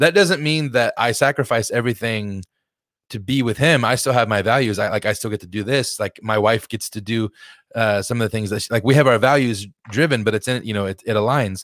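A man with an unremarkable speaking voice talks at a fairly quick pace and medium pitch, with ordinary pitch variation, in a very clean, silent recording that sounds dry and close with no echo. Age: 30s. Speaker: behavior analyst, health coach. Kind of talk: casual interview chat.

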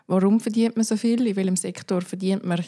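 In a very clean recording with a silent background, a woman with a dark, mellow tone and medium pitch speaks at a moderate pace with fairly even intonation. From Zurich, Switzerland (Seebach). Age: 20s. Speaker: podcast guest. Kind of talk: casual chat.

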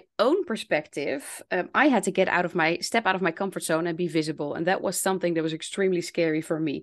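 Over a quiet background, a woman speaks with a Dutch accent. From Netherlands. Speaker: English teacher and language coach. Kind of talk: interview conversation.

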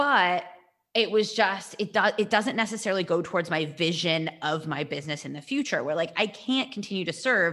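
A woman speaks in an ordinary speaking voice, medium in pitch, at a moderate pace with lively intonation. The recording is very clean, with a silent background. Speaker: podcast co-host and coach. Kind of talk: casual chat.

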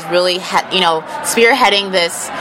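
A woman speaks at a medium pitch with ordinary pitch variation. The room echo is audible, and there is noticeable background noise. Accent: American. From Texas. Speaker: political influencer. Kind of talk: interview. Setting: conference venue.

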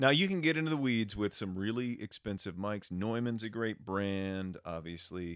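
In an unremarkable speaking voice, the speaker keeps a moderate pace with hardly any pauses and ordinary pitch variation, on a very clean recording with a silent background. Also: man, fairly low pitch for a man. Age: 40s. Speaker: podcast co-host and voiceover artist. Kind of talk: casual chat.

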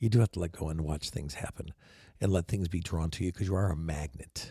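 Very fast, somewhat breathy speech from a man with a very deep, low pitch and a dark, mellow tone, ordinary pitch variation, a dry, close sound with no echo, and a very clean recording with a silent background. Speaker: podcast host and photographer. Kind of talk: casual monologue. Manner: animated.

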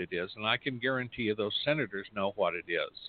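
A man with an American accent talks at a moderate pace. His pitch is medium and his intonation fairly even. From US Mountain West, near Yellowstone. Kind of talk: talk radio news commentary. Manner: casual, hesitant with fillers.

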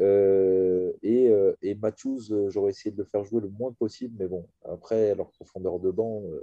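A man's fairly low, dark, mellow voice with fairly even intonation and a dry, close sound with no echo. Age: 40s. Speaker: basketball podcast host. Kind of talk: casual chat.

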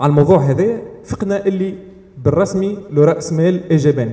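A man talks at a moderate pace with a high pitch and lively intonation. Noticeable background noise runs underneath. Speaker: campaign organizer and event moderator. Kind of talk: public talk at live event. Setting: café with live audience.

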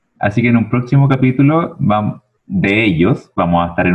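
A man speaks with a Chilean accent. His pitch swings very widely. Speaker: podcast co-host. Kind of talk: casual comedic chat. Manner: animated.

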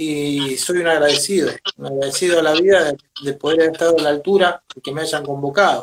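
A man with a normal speaking voice talks at a fairly quick pace. His pitch is fairly high and his intonation fairly even. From Argentina, Venado Tuerto, southern Santa Fe. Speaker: drummer and percussionist. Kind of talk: interview.

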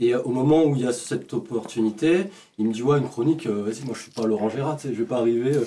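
A man talks at a very fast pace with ordinary pitch variation. His loudness shifts in big swings. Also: medium pitch for a man. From France, Vichy. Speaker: comedy writer. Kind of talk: casual chat.

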